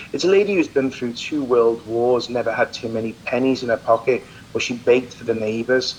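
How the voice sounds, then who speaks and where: At a moderate pace, a man with an English accent speaks at a medium pitch amid noticeable background noise. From England. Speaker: celebrity chef. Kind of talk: interview. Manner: animated.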